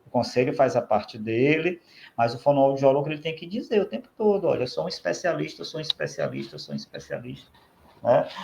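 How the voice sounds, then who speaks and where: Big swings in loudness mark this man's speech, which runs at a fairly quick pace. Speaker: speech therapist, professional council official. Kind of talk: podcast interview.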